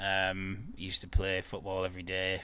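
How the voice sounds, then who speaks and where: Bright and sharp in tone, a man talks. He has a Yorkshire accent. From northern England, Bradford. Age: 30s. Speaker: football fan guest. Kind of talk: casual chat. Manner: hesitant, many fillers.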